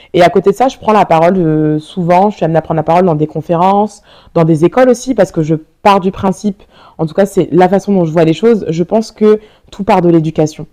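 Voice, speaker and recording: A woman's fairly low voice, dark and mellow in tone, with ordinary pitch variation and a very fast pace. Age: 30s. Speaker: olympic sprinter and entrepreneur. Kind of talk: interview. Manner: hesitant, many fillers.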